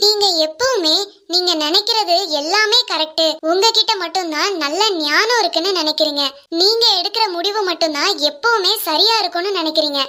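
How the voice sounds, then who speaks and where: This is a cartoonish character voice. It goes along at a fairly slow pace. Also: female-sounding voice, extremely high pitch for a woman. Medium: puppet. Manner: pleading, earnest.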